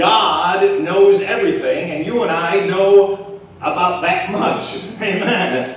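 A man speaks at a very slow pace in a high pitch. His pitch varies in an ordinary way, and the room adds strong echo. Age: 50s. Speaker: pastor; preacher. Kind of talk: sermon. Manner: halting. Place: church.

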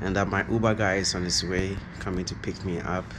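Noticeable background noise behind a man speaking with fairly even intonation. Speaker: travel vlogger. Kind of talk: casual vlog chat. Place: home room. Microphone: phone near.

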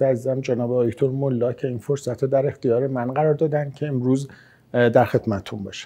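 A man rattles off his words at a very fast pace in a dark, mellow tone with monotone, flat intonation. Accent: Isfahani. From Isfahan, Iran. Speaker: maxillofacial surgeon. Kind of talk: interview answer. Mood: calm, friendly. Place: home room.

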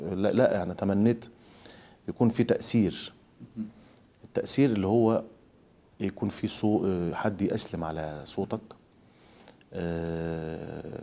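A man with an Egyptian accent speaks at a very slow pace in a fairly low voice, his dark, mellow tone carrying ordinary pitch variation and broken by long, frequent pauses. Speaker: Quran reciter; interviewee. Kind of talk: interview. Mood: calm, reflective. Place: home room.

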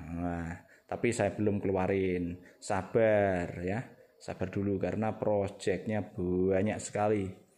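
A man speaks at a very slow pace in a monotone, flat intonation. His tone is dark and mellow, his pitch fairly low. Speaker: airgun seller and channel host. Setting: outdoors in the rain at a shooting range.

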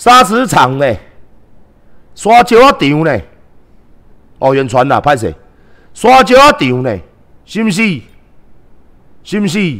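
Against a quiet background, a man with a high pitch talks at a very slow pace, using very wide pitch swings and long, frequent pauses. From Taiwan. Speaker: live streamer and political commentator; live streamer, political commentator. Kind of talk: livestream rant. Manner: animated. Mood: indignant, combative. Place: home room. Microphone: headset.

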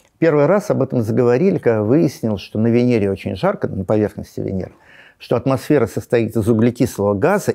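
Over a quiet background, a man with a medium pitch and a dark, mellow tone talks at a fairly quick pace with very wide pitch swings. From Russia. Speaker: astrophysicist, science popularizer; guest. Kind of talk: interview. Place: studio. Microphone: lapel.

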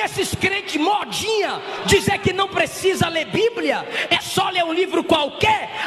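Amid crowd noise and audible room echo, a man with a Brazilian accent and an extremely high pitch speaks at a fairly slow pace with fairly even intonation. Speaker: preacher. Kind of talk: fiery sermon to a live church congregation, rhetorical repetition, mocking sarcasm. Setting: church with congregation. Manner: sarcastic, scolding, humorous. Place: church. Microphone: podium.

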